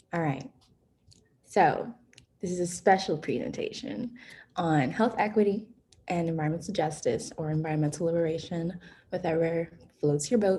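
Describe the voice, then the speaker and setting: A woman with an American accent speaks in a fairly low, somewhat breathy voice with a dark, mellow tone. Her moderate pace is broken by long, frequent pauses, and her pitch varies in an ordinary way. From New York City, the Bronx. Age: 20s. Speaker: college student and environmental activist. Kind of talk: online presentation. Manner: casual.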